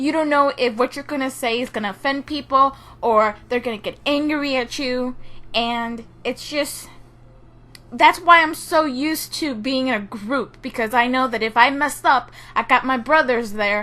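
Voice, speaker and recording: A woman's raised, projected voice, high in pitch, with ordinary pitch variation at a moderate pace. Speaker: gaming YouTuber. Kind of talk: casual vlog monologue. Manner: halting, repeats words.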